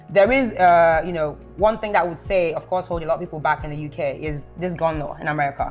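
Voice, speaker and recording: A woman with a fairly low pitch talks at a very fast pace with hardly any pauses. Music plays in the background. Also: ordinary pitch variation. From London. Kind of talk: casual conversation.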